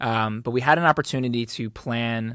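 A man uses a normal speaking voice with an American accent and fairly even intonation. The recording is very clean, dry and close, with no echo and a silent background. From Philadelphia suburbs. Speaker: creative collective founder. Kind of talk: interview.

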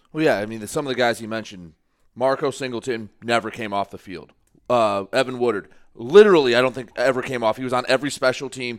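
The speaker is a man going very fast. His pitch variation stays ordinary. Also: medium pitch for a man, very clean recording, silent background. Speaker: sports podcast co-host. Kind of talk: casual sports chat. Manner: loud.

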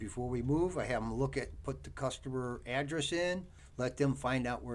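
Using an ordinary speaking voice, a man speaks with an American accent. His pitch is medium and his pace fairly quick. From US Midwest, Cleveland area, Ohio. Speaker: truck driver and trainer. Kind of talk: casual interview.

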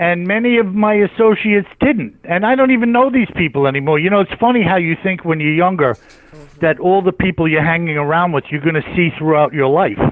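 A man with an American accent speaks at a high pitch. His pace is fairly quick, with hardly any pauses. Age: 60s. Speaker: author. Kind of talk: casual chat.

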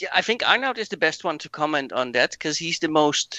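A man with a Dutch accent speaks at a moderate pace, his fairly high voice carrying lively intonation. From Netherlands. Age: 40s. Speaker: rally driver. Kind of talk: casual interview.

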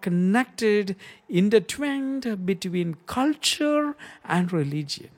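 On a very clean recording with a silent background, a man with an Indian accent speaks at a high pitch with lively intonation. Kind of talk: religious monologue.

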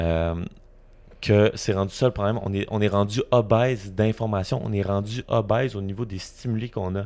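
Very clean and set against a silent background, this recording features a man with a Quebec accent. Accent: Québécois French. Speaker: podcast host. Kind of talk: casual chat. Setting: video recording with sunlight on camera.

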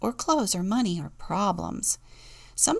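The clip features an unforced reading voice.

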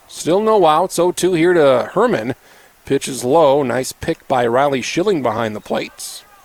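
Over noticeable background noise, a man's voice swings very widely in pitch in a dry, close sound with no echo. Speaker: radio sports play-by-play announcer. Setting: ballpark broadcast booth, live on radio.

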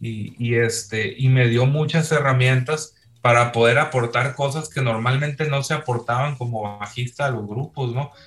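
Delivered at a moderate pace, the speech has fairly even intonation and a somewhat breathy quality. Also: man. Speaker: rock musician. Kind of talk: casual chat.

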